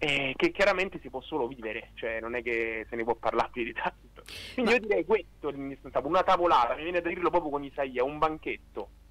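Here a man talks at a fairly quick pace with lively intonation and a fairly high pitch. The sound is dry, with no echo. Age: 20s. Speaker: philosophy student; interview guest. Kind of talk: radio interview testimony. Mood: calm, thoughtful. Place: studio. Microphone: studio mic.

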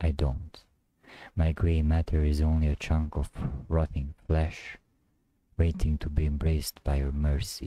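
A man speaks in a very deep, low pitch with a dark, mellow, somewhat breathy tone that sounds intense, his intonation monotone and flat. His pace is fairly slow, with long, frequent pauses over a quiet background. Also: dry sound with no echo. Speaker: poet reciting. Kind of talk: spoken word poetry, confessional and despairing. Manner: brooding, intense, darkly introspective; repetitive, incantatory, building in emphasis. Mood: somber, brooding. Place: home room. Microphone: studio mic.

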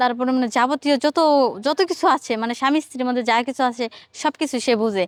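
A woman speaks with a high pitch and ordinary pitch variation. The recording is very clean and dry, close with no echo, over a silent background. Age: 30s. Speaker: woman seeking marriage. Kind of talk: interview.

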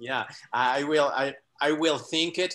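This man has a fairly high pitch. His tone is bright and sharp. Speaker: quantum coach; guest or coach in an online talk. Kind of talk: casual video-call conversation. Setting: video call. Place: home room. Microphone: video call.

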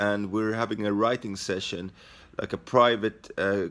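This man talks at a moderate pace with a Swedish accent. His pitch is fairly low and his intonation fairly even. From Sweden. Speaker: stand-up comedian. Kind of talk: casual vlog talk to camera. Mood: wry, self-mocking.

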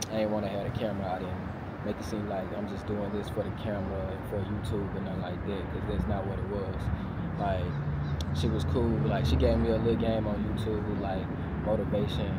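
Loud background noise surrounds a man speaking at a fairly quick pace with ordinary pitch variation. The sound is dry, with no echo. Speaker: vlogger. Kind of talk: casual vlog chat. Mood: relaxed, reflective. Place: street. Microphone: lapel.

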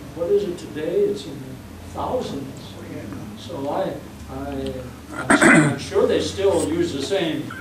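Amid loud background noise and audible room echo, a man speaks at a very slow pace. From Bremen, Indiana. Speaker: elderly local resident recalling history. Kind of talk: oral history interview answer. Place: meeting room.

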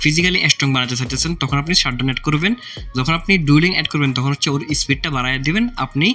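With noticeable background noise, a man speaks at a fairly high pitch with ordinary pitch variation. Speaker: gaming YouTuber. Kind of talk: gaming tutorial. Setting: indoor room at night, hot.

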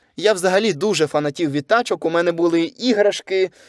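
An unremarkable speaking voice with lively intonation at a moderate pace, with a dry, close sound with no echo, on a very clean recording against a silent background. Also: man. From southern Ukraine, Kherson, then Lviv region. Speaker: YouTuber and voice-over artist. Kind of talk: casual solo podcast monologue.

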